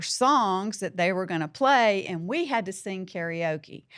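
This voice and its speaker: Fairly slowly, a woman talks in a Southern US accent. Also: very clean recording, silent background. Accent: Southern American. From US South. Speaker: podcast host. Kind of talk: podcast storytelling and closing remarks. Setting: studio.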